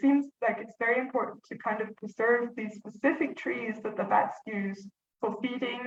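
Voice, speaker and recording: Her pitch sits fairly high, with ordinary pitch variation. The woman keeps a moderate pace. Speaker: conservation biologist. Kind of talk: webinar presentation.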